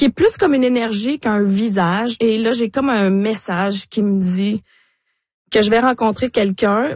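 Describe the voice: At a fairly slow pace, a woman speaks in a medium pitch with ordinary pitch variation and a slightly mellow tone.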